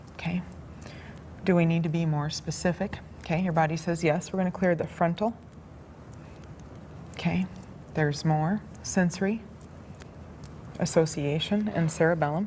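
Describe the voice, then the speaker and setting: Calm in tone and somewhat breathy, a woman speaks at a fairly low pitch and a moderate pace with fairly even intonation and long, frequent pauses. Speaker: alternative-therapy practitioner giving a demonstration session. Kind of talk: instructional demonstration to a subject. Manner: soft-spoken, calm.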